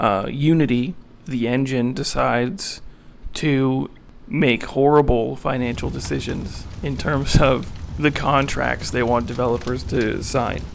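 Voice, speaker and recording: Fairly slow, medium-pitched male speech amid noticeable background noise and audible room echo. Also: ordinary pitch variation. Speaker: indie game developer and animator. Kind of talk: casual vlog narration. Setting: home apartment.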